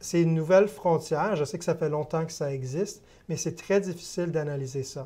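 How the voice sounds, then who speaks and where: A man talks at a fairly quick pace with a fairly high pitch. His tone is dark and mellow, and his intonation fairly even. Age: 30s. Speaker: investment firm sales executive. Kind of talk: TV interview. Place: studio. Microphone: lapel.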